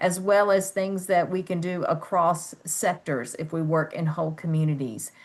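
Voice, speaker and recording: An ordinary speaking voice from a woman at medium pitch, moderate pace, over a quiet background. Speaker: webinar moderator. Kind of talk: webinar wrap-up.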